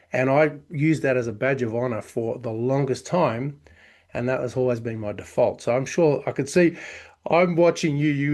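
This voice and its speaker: Here is a man with an Australian accent at medium pitch. The background is quiet. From Australia (Victoria). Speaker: chiropractor and business consultant. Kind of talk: podcast interview.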